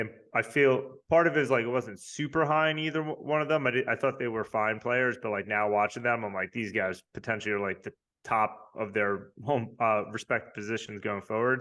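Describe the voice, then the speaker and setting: A man with a slight Long Island accent talks at a fairly quick pace. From New York, Long Island. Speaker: fantasy football league member. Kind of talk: casual interview. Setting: podcast.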